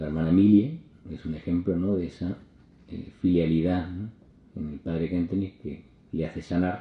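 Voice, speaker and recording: A man's very deep, low voice, somewhat breathy, with monotone, flat intonation. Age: 50s. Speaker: priest. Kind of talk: talk.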